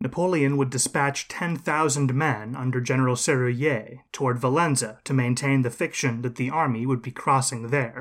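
A man with a plain, everyday voice, medium in pitch, at a moderate pace with hardly any pauses and fairly even intonation. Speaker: history podcast host. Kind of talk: scripted history narration, lecture-like storytelling. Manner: measured, steady, formal and explanatory.

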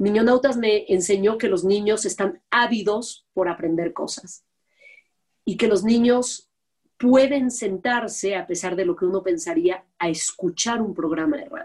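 Speaking at a fairly slow pace, a woman uses lively intonation at a medium pitch. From Mexico. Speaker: TV producer and host. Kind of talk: interview conversation. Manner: blunt, direct.

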